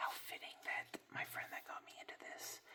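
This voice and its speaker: A man is whispering. His pace is moderate. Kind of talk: ASMR card unboxing, whispered reading of card text. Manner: soft, whispering.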